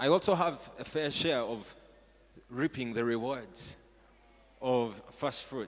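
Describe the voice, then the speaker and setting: Noticeable background noise behind a man at a medium pitch. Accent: Ugandan. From Uganda (Buganda). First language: Luganda. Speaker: pastor. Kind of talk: sermon. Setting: church stage with audience. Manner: animated.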